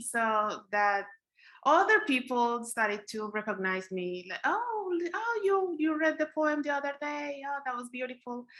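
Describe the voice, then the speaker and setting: A woman with a Spanish accent talks at a fairly slow pace in a bright, sharp tone over a quiet background. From Colombia (Bogotá). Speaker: poet. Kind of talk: interview.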